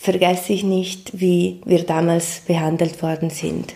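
A woman speaks very slowly at a fairly low pitch, her tone dark and mellow. Her intonation stays monotone and flat. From Ticino, Switzerland. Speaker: migrant activist. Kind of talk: interview. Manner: halting.

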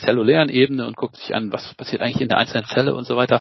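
A man speaks at a very fast pace with medium pitch and fairly even intonation. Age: 40s. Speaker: emergency physician. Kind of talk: interview.

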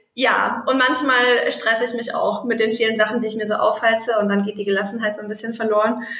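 Over audible room echo, a woman with a fairly high pitch speaks at a fairly quick pace in a monotone, flat intonation. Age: 30s. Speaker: somatic intelligence coach. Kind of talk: interview.

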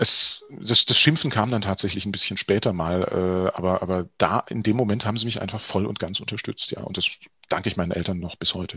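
The pace runs fairly brisk in an unremarkable speaking voice. Its pitch rises and falls in a usual way. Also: man, fairly low pitch for a man. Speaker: actor and voice-over artist. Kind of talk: interview. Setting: studio.

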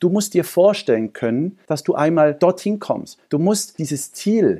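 A man talks at a very slow pace. His voice is high, with a dark, mellow tone. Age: 40s. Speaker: entrepreneur. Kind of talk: interview.

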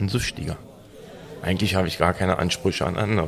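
Noticeable background noise sits behind a man whose very deep, low voice moves with ordinary pitch variation. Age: 40s. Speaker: recovered addict, self-help member. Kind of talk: casual chat.

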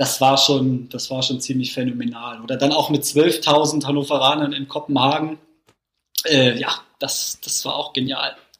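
This man has a fairly high pitch and a monotone, flat intonation. He talks at a moderate pace. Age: 20s. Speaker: football fan. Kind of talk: casual chat. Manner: halting.

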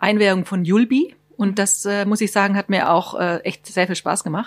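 A woman's medium-pitched, unremarkable speaking voice at a moderate pace with ordinary pitch variation. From Baden-Württemberg. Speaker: tourism staff, writes trip tips. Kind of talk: radio interview. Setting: studio.

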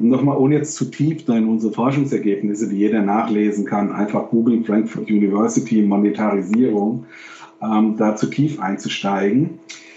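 A man with a fairly low pitch talks at a moderate pace with very even loudness and ordinary pitch variation, over noticeable background noise. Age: 50s. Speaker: professor and games industry expert. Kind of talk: interview. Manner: halting.

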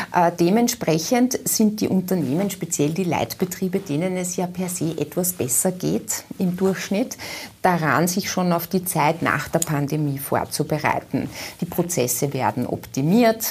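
A woman talks at a fairly slow pace and a fairly low pitch. It is a plain, everyday voice with ordinary pitch variation. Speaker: business association executive. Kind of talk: TV interview.

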